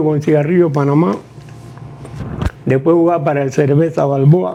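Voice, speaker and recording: With ordinary pitch variation, a man talks fairly slowly as noticeable background noise plays behind him. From Panama. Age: 90s. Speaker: retired basketball player. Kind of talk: interview. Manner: halting.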